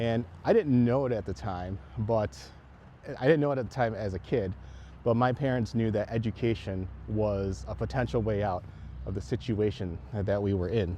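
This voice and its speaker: A somewhat breathy man's voice, dark and mellow in tone, with lively intonation. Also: fairly low pitch for a man, moderate pace. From southeastern Wisconsin. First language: Chinese. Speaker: school board candidate. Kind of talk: campaign video talk. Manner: casual, hesitant with fillers.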